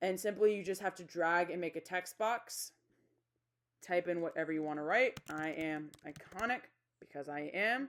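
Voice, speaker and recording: Delivered at a moderate pace, a plain, everyday voice shows ordinary pitch variation. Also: woman, fairly low pitch for a woman. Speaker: STEM teacher making tutorials. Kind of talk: tutorial. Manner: casual, conversational.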